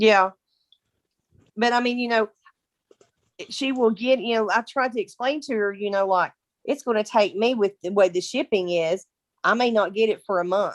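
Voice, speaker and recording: A woman speaks with a Kentucky accent, her pitch varying in an ordinary way. She leaves long, frequent pauses, and the sound is dry and close with no echo. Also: fairly high pitch for a woman, moderate pace. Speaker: direct sales team member. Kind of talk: casual chat. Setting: video call.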